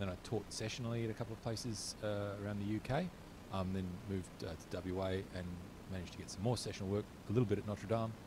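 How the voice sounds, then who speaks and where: At a very fast pace, a man with an Australian accent speaks in a fairly low, somewhat breathy voice with a dark, mellow tone and fairly even intonation. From Queensland, Australia. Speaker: philosophy lecturer. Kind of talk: panel discussion.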